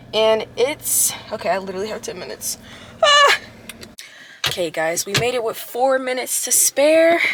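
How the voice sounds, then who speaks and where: A woman speaks at a moderate pace in a high pitch with lively intonation. Background noise is noticeable. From Louisiana. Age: 20s. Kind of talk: casual vlog talk to camera.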